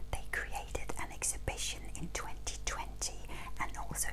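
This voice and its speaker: A woman whispers. Noticeable background noise sits behind her. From Denmark. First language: Danish. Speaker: museum and heritage interpreter. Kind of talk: educational talk to camera. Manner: whispered.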